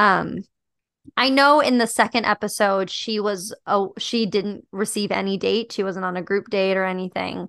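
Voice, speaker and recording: A woman at a moderate pace with fairly even intonation, against a quiet background. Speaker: podcast host. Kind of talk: casual comedic chat.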